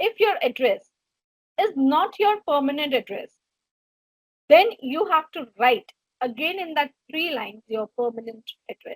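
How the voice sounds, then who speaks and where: Long, frequent pauses break up speech in a Gujarati accent, with big swings in loudness and very wide pitch swings. The sound is dry and close, with no echo. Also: woman, high pitch for a woman, fairly slow pace. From India (Gujarati background). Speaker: HR trainer / career coach. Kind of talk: webinar lecture.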